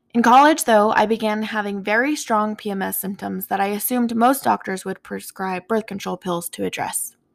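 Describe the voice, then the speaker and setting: A woman with an American accent and a normal speaking voice talks at a fairly high pitch and fairly quick pace, with ordinary pitch variation and hardly any pauses, in a very clean recording with a silent background. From US Southwest, Four Corners area of New Mexico. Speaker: podcast host. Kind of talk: solo personal monologue.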